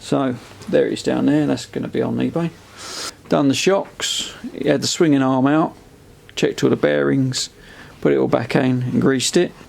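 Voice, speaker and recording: The speech is mumbled at a moderate pace, with long, frequent pauses. Noticeable background noise runs underneath. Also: man. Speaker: motorcycle restorer. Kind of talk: casual video walkthrough. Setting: outdoors at brother's place. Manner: mumbling.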